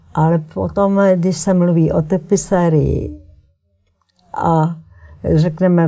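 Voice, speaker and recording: Somewhat breathy, a woman with a dark, mellow tone speaks with fairly even intonation. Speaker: textile artist and painter. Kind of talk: interview. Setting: TV studio.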